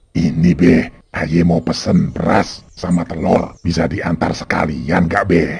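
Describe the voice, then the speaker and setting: A man's cartoonish character voice, very deep and low, at a fairly slow pace with hardly any pauses, fairly even intonation and very even loudness. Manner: folksy, colloquial.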